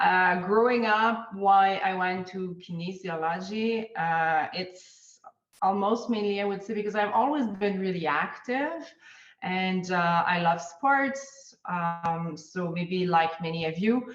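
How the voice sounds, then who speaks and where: Speaking in a Quebec accent, a woman talks at a very slow pace. Her pitch is medium, with ordinary variation. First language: French. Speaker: ergonomist. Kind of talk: interview. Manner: hesitant with fillers.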